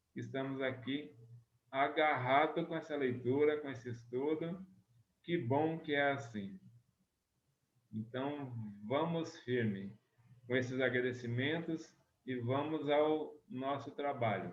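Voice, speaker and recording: A man talks at a very slow pace with long, frequent pauses. His voice is fairly high, with ordinary pitch variation and audible room echo. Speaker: spiritist study group leader. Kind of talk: study group lecture. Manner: soft-spoken.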